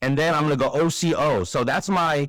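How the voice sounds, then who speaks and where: A man with a fairly high pitch and vocal fry speaks at a moderate pace. The recording is very clean with a silent background, and the sound is dry and close with no echo. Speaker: trading educator. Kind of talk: screen-share tutorial. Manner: casual with fillers.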